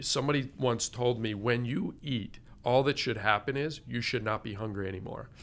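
A man with an ordinary speaking voice talks at a moderate pace, his pitch medium and his pitch variation ordinary. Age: 50s. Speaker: integrative medicine doctor. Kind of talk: interview.

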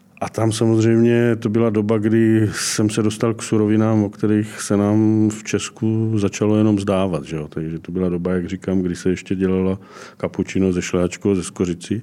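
With a dark, mellow tone and fairly low pitch, a man speaks at a moderate pace with fairly even intonation and hardly any pauses. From Brno area, South Moravia. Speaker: chef. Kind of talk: casual chat.

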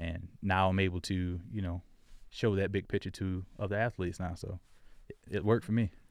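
A man with an American accent, a very deep, low pitch, fairly even intonation and a fairly quick pace, in a very clean recording with a silent background. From Florida. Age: 20s. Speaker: sports agent. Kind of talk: casual interview.

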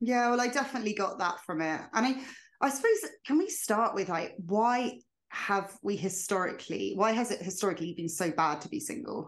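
With an unremarkable speaking voice, a woman talks fairly quickly at a medium pitch with lively intonation against a quiet background. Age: 30s. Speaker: podcast host and quitting coach. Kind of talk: interview, casual chat.

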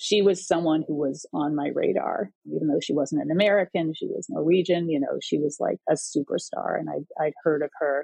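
A woman at a moderate pace, with hardly any pauses. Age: 60s. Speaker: distance runner and editor. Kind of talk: casual interview.

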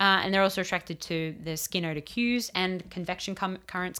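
A woman's fairly low, bright and sharp voice with an Australian accent and fairly even intonation, on a very clean recording with a silent background. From Australia, rural New South Wales. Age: 30s. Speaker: entomologist. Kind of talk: casual chat.

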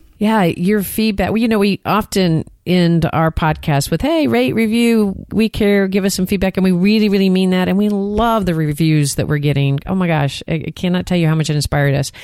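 A woman speaks at a fairly quick pace with a Texan accent, her pitch medium and her pitch variation ordinary. Her loudness stays very even, and the recording is very clean with a silent background. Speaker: therapist and podcast co-host. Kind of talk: casual chat.

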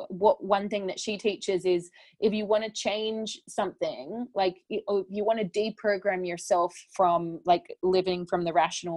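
In an Australian accent, a woman speaks at a fairly slow pace, medium in pitch with ordinary pitch variation, in a dry, close sound with no echo. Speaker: spiritual teacher and author. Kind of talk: interview conversation.

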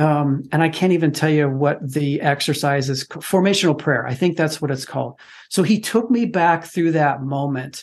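A man with a plain, everyday voice talks at a moderate pace against a quiet background. His pitch is fairly high, with ordinary pitch variation. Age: 50s. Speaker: fatherhood podcast guest. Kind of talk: casual chat.

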